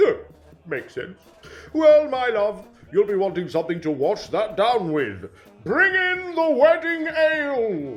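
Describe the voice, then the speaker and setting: A man speaks in a put-on character voice, high-pitched for a man, with very wide pitch swings and a fairly slow pace while faint music plays in the background. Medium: audio drama. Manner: booming and gullible.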